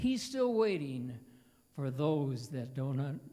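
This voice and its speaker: The man's voice has a dark, mellow tone and is somewhat breathy. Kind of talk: stage banter between songs. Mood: warm, joking. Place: church. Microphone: handheld.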